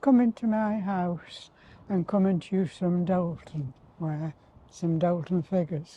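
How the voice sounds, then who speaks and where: The voice has a dark, mellow tone and a Potteries accent. It moves at a fairly slow pace with ordinary pitch variation. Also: woman. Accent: Potteries (North Staffordshire) English. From Tunstall, Stoke-on-Trent, England. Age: 80s+. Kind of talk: reminiscing interview answer.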